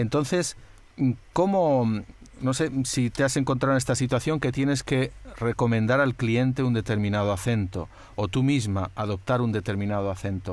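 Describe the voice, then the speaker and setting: A man speaks in an unremarkable speaking voice at a medium pitch with ordinary pitch variation. His loudness stays very even at a moderate pace. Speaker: podcast host. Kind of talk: interview questions.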